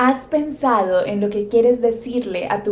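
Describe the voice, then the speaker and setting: A woman's speech, with ordinary pitch variation, comes through noticeable background noise. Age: 20s. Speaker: podcast host and yoga teacher. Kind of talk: solo podcast monologue.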